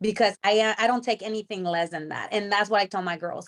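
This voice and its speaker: Speaking at a fairly quick pace, the woman has a Spanish accent. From Mexico. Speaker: professional wrestler. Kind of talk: interview. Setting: video call. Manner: halting.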